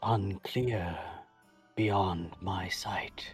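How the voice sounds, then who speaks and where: Faint music sits behind a man doing a put-on character voice. His pitch is fairly low and his intonation fairly even. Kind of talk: archaic solemn speech. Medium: actual play. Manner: slow, cryptic, ominous.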